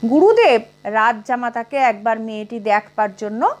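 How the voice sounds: A natural reading voice, its pitch moving in an ordinary range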